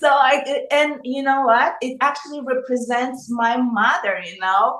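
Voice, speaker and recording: A high-pitched woman's voice at a fairly slow pace, with fairly even intonation and noticeable background noise. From Russia then Angola. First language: Russian. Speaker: singer. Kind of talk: interview. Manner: halting.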